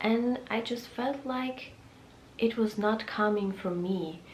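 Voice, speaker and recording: A woman with a non-native accent speaks at a very slow pace and medium pitch. Noticeable background noise and audible room echo come through. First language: Russian. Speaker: lifestyle vlogger. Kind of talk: casual vlog talk. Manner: halting with many fillers.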